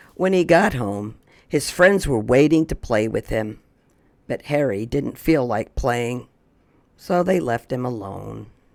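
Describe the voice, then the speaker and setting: The speaker uses a raspy, put-on character voice in a low-to-middle pitch. The pace is fairly slow. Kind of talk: bedtime story. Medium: read story. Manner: clear, gentle, paced read-aloud.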